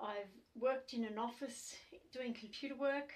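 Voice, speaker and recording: With fairly even intonation, a woman talks at a high pitch and a fairly slow pace. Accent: Australian. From Australia. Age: 60s. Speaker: activist. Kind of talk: testimony. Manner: hesitant, many fillers.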